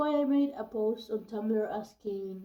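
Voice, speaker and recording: A woman speaks with a non-native accent at a fairly high pitch, with ordinary pitch variation. Her tone is dark and mellow. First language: not English. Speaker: youtuber. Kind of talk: casual vlog with reading aloud. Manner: halting, with hesitations.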